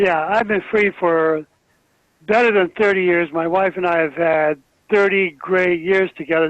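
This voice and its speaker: At a moderate pace, a man speaks with high pitch and ordinary pitch variation. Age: 70s. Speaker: webinar participant. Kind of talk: casual call-in comment.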